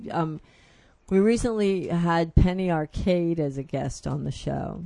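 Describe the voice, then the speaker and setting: In a quiet background, a woman with an American accent speaks at a fairly low pitch with a dark, mellow tone and ordinary pitch variation. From Philadelphia, US. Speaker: radio show host. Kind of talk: interview.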